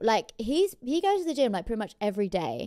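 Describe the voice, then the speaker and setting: Against a quiet background, a woman with a dark, mellow tone speaks with very wide pitch swings. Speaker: streamer reacting to videos. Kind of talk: casual reaction commentary. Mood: playful, teasing, laughing. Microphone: studio mic.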